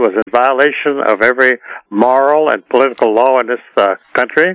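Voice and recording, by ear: Fairly quick speech from a man at medium pitch, fairly bright with a clear, smooth tone and a dry, close sound with no echo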